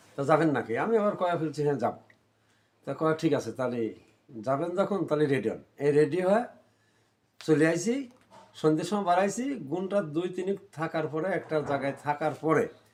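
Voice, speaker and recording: Fairly high-pitched male speech showing ordinary variation in pitch. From Bangladesh, Pabna district. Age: 50s. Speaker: migrant worker. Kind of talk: interview testimony. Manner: halting.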